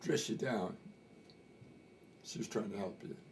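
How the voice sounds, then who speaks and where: A man speaks with an American accent. Noticeable background noise sits behind him. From Montana. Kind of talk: interview answer. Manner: casual, hesitant storytelling.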